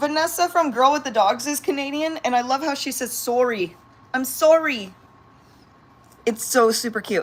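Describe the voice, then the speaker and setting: A woman with a high pitch and an American accent talks at a moderate pace with long, frequent pauses over noticeable background noise. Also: ordinary pitch variation. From San Diego, California. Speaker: pet vlogger and yoga teacher. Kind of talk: casual livestream chat. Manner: animated.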